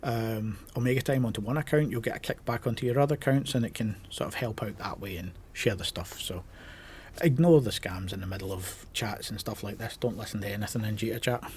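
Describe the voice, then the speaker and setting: A somewhat breathy male voice at a fairly quick pace with ordinary pitch variation. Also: medium pitch for a man. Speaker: gaming YouTuber. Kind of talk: casual vlog talk to camera. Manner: casual, with many filler ums.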